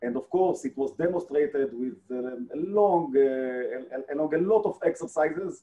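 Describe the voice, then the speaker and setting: Speaking with an Israeli accent, a man goes at a fairly slow pace with hardly any pauses. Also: fairly high pitch for a man. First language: Hebrew. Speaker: defense agency director, retired air force colonel. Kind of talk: presentation and interview. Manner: halting, frequent fillers. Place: office. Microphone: video call.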